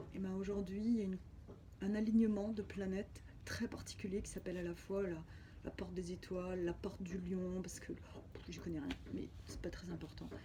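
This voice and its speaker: There is audible room echo around this woman's voice. She speaks at a moderate pace. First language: Spanish (speaking French). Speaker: spiritual healer. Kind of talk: personal video diary testimony. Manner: halting.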